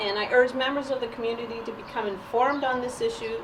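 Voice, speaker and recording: A woman speaks at a fairly high pitch with fairly even intonation. Noticeable background noise and audible room echo surround her. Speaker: parent giving public comment. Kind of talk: public comment at meeting. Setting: school committee meeting, recorded.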